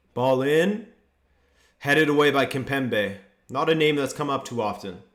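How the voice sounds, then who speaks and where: This man talks with lively intonation at a fairly high pitch. Audible room echo surrounds his voice. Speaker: football YouTuber hosting a watchalong. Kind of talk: live commentary with chat reading. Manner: slow.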